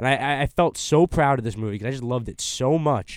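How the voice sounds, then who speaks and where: A plain, everyday voice at a fairly quick pace with ordinary pitch variation, on a very clean recording with a silent background. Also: man. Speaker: college podcast host. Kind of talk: casual roundtable discussion. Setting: studio.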